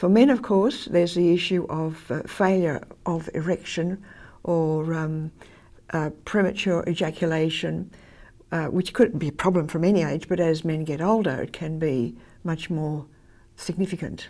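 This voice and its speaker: A woman speaks in an Australian accent, her pitch fairly low and her tone dark and mellow. The recording is very clean, with a silent background. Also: ordinary pitch variation, moderate pace. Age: 80s. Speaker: former church minister. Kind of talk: interview answer.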